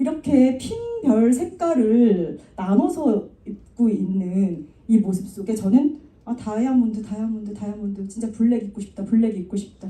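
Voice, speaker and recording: A woman speaks with lively intonation at a fairly high pitch. Her loudness swings widely. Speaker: network marketing speaker. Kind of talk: motivational talk. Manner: fast.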